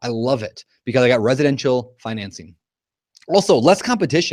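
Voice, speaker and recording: The man sounds energetic. His pitch swings very widely. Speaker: real estate investor and educator. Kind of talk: webinar presentation. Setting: live online broadcast. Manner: fast.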